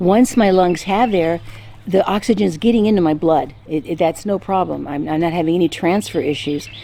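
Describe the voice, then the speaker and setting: A woman speaks at a moderate pace while background noise is noticeable. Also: fairly low pitch for a woman, ordinary pitch variation. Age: 60s. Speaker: lifestyle vlogger. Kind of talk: casual health update vlog. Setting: outdoors. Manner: halting, many fillers.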